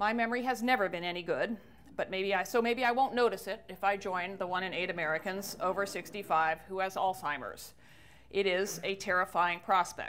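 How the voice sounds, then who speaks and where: A woman with an unremarkable speaking voice talks at a fairly quick pace. Her pitch is medium, with ordinary pitch variation. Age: 60s. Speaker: author and speaker on ageism. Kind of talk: public talk.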